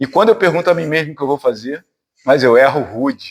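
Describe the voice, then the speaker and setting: On a very clean recording with a silent background, a man speaks at a moderate pace. His fairly high voice has lively intonation. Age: 50s. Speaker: spiritist lecturer, physician. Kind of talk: spiritist talk to a study group. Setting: spiritist centre with audience. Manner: conversational, informal.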